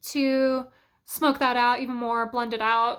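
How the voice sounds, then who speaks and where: On a very clean recording with a silent background, a woman talks at a fairly slow pace with a high pitch. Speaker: beauty vlogger. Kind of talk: makeup tutorial chat. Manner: loud; casual with many fillers.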